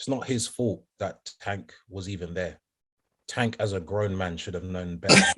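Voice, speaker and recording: A man speaks with a London accent in a very deep, low voice. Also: moderate pace. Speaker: R&B singer and podcast co-host. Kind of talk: casual chat. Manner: animated.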